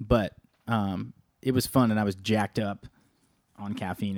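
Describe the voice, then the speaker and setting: A man with a fairly low pitch and ordinary pitch variation has a plain, everyday voice, captured as a dry, close sound with no echo. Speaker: podcast co-host and band drummer. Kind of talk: casual chat. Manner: joking, playful.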